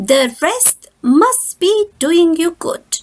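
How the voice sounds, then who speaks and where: A woman uses a put-on character voice at an extremely high pitch with very wide pitch swings. The sound is dry and close, with no echo. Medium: read story.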